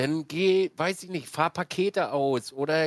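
A man's normal speaking voice, fairly high in pitch with ordinary variation, at a fairly slow pace, in a dry, close sound with no echo. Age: 30s. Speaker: streamer and podcast host. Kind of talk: casual chat.

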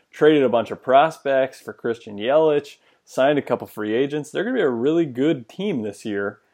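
A man with an ordinary speaking voice talks at a fairly quick pace, medium in pitch and with ordinary pitch variation. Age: young. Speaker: sports podcast host. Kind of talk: casual chat.

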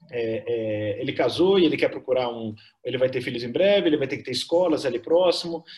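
An ordinary speaking voice belongs to this man, medium in pitch. He moves at a fairly quick pace. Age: 50s. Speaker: tech company co-founder. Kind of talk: interview.

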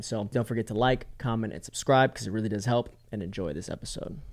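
An unremarkable speaking voice from a man, fairly low in pitch with fairly even intonation, on a very clean recording with a silent background. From Florida. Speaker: podcast host, coach. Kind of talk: scripted intro; interview, casual chat.

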